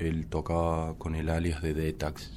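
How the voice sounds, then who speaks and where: The voice has a dark, mellow tone, and there is audible room echo. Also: man. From Córdoba, Argentina. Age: 30s. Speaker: musician and DJ. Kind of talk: interview conversation. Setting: studio.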